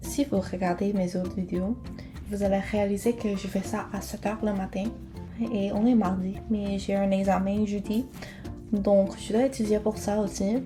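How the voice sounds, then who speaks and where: Music plays in the background as the speaker goes at a fairly slow pace with fairly even intonation and long, frequent pauses. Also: woman, medium pitch for a woman. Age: 20s. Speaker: beauty vlogger. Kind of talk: casual talk to camera.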